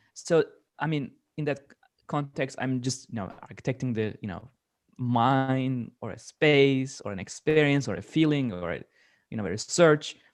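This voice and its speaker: A man with a non-native accent speaks at a moderate pace and medium pitch, his intonation lively and broken by long, frequent pauses. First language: not English. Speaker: media artist. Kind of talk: panel discussion.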